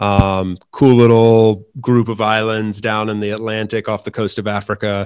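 A man with an American accent and fairly low pitch, moderate pace, monotone flat intonation, dry close sound with no echo, and a very clean recording on a silent background. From US South, North Carolina. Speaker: remote worker and podcaster. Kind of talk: casual interview chat.

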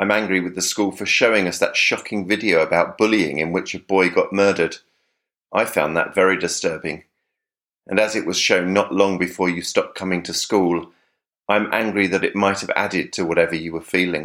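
In a southern English accent, a man with a very deep, low pitch speaks at a fairly quick pace with fairly even intonation, on a very clean recording with a silent background. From South of England. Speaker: letter writer, podcast contributor. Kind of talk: reading aloud a personal letter.

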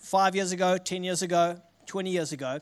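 A man with a South African accent. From South Africa, Richards Bay. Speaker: guest preacher. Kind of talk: sermon. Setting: church.

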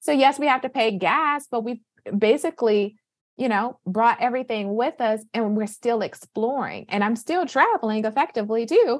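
With an American accent, a woman in a normal speaking voice talks at a moderate pace, her pitch fairly high with ordinary variation. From Michigan, US Midwest (Flint). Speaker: physician and wealth coach. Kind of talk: interview conversation.

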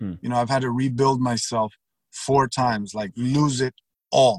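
A man speaks in a normal speaking voice at a medium pitch. The sound is dry and close with no echo, and his pitch varies in an ordinary way. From born in Cuba, raised in Texas and Miami. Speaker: sales consultant and former prisoner. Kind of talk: interview conversation. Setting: call.

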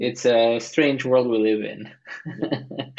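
Here a man talks at a very slow pace. His intonation is fairly even. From Greece. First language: Greek. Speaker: interviewer, mobility researcher. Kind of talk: interview.

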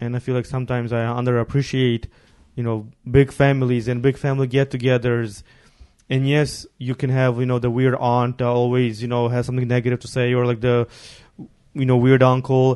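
In a Ukrainian accent, a man speaks at a fairly quick pace with a dark, mellow tone. His intonation is monotone and flat. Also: medium pitch for a man. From Ukraine. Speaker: podcast host. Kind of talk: casual chat.

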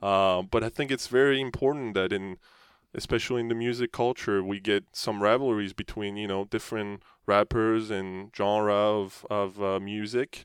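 A man speaks at a moderate pace with a French accent. The sound is dry and close with no echo, over a quiet background. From France. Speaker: professional hockey player. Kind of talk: interview. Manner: halting.

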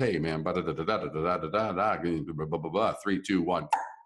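A man's very deep, low voice in a New York accent, with ordinary pitch variation. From New York City. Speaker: branding expert and author. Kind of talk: casual interview chat.

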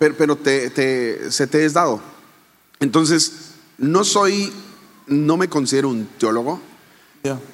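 With long, frequent pauses, a man talks at a fairly slow pace in a fairly high pitch with ordinary pitch variation. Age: 40s. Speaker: pastor and speaker. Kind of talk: casual interview. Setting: live audience.

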